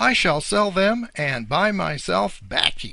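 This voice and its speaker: A man does a put-on character voice, high in pitch with very wide pitch swings, at a fairly slow pace. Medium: read story. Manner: gloating, chuckling.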